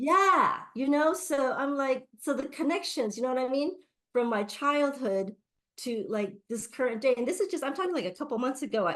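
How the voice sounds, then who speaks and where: Speaking with an American accent, a woman with a high pitch sounds animated, moving at a fairly quick pace through very wide pitch swings. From US, Japanese American community. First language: Japanese. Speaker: Reiki teacher. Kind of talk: interview. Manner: animated, many fillers.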